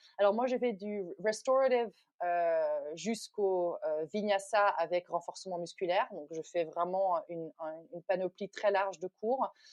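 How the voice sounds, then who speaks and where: This woman's medium-pitched voice moves at a fairly slow pace. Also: ordinary pitch variation. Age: 40s. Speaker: yoga teacher. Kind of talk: interview. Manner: halting.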